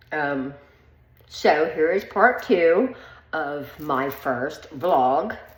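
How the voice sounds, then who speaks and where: Here a woman speaks at a very deep, low pitch. Audible room echo surrounds her voice. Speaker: vlogger. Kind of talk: personal vlog monologue. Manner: hesitant, many filler ums.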